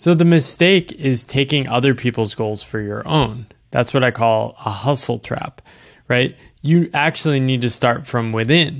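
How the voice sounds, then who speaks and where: A man with an ordinary speaking voice at medium pitch, ordinary pitch variation and a moderate pace, on a very clean recording with a silent background. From US East Coast. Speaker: author. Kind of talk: casual interview conversation.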